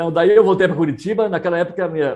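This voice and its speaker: A man talks at a very fast pace. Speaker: missionary pastor. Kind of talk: interview conversation.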